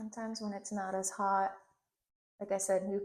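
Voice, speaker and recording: Her intonation stays monotone and flat as the woman talks at a moderate pace. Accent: slight Puerto Rican. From Puerto Rico, Ponce. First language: Spanish. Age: 30s. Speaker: hairstylist. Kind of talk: hair tutorial with casual chat. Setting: home studio.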